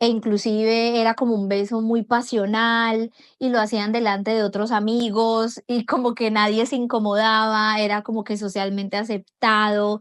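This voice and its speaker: A woman speaks at a fairly high pitch and a moderate pace. Her intonation is monotone and flat, over a quiet background. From Colombia. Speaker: foreigner sharing experiences of Brazil. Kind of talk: personal testimony.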